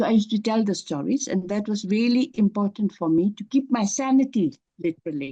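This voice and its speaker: A woman speaks at a medium pitch with a dark, mellow tone, somewhat breathy, her intonation lively and her delivery almost without pauses, in a dry, close sound with no echo. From Bhutan. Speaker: author. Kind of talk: interview. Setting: festival interview. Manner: halting, many fillers.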